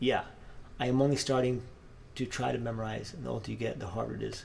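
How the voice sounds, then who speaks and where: Through audible room echo, a man talks at a very fast pace with ordinary pitch variation. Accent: Spanish. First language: Spanish. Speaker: guitarist and channel host. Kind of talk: casual live-stream chat while practicing. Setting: live stream. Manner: casual, halting with fillers.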